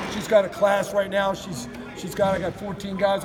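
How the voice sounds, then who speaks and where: A man speaks loud and fairly quickly in a high pitch. Noticeable background noise is present. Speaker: college football strength coach. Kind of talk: media interview. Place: gym.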